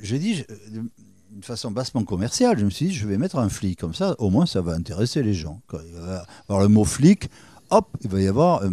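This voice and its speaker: In a very clean recording with a silent background, a man speaks at a moderate pace in a fairly low, dark, mellow voice with lively intonation. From France, Bordeaux / Arcachon basin. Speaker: crime novelist and former TV weather presenter. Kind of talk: casual interview. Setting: interview at his home. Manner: halting.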